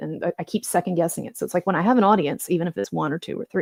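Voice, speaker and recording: Soft-spoken and fairly low-pitched, a woman talks with vocal fry in a dry, close sound with no echo. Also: very clean recording, silent background. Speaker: YouTube commentator. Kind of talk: informal live stream monologue. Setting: home live stream late at night. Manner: halting, many fillers.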